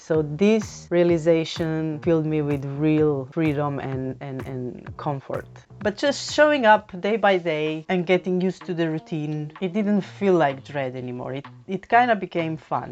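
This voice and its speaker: Over background music, a woman with a non-native accent speaks at a fairly slow pace with hardly any pauses, her very deep, low voice carrying lively intonation. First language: not English. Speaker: YouTuber. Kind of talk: casual talk to camera.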